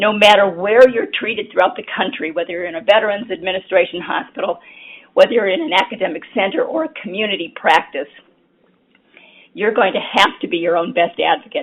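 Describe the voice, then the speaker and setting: Her medium-pitched voice is lively in intonation as this woman talks at a fairly quick pace. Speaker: cancer survivorship consultant. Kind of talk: lecture.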